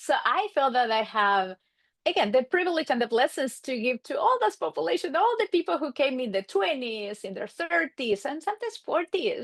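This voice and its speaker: With an Argentine accent, a woman speaks at a high pitch with very wide pitch swings and a moderate pace, in a dry, close sound with no echo. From Argentina, Buenos Aires suburbs. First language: Spanish. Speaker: marriage and family therapist. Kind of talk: podcast interview.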